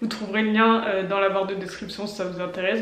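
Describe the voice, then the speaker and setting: Noticeable background noise and audible room echo surround a woman's voice. She speaks at a medium pitch in a flat monotone. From northern France. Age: 20s. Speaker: vlogger and entrepreneur. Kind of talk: casual vlog talk to camera. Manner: hesitant, many filler sounds.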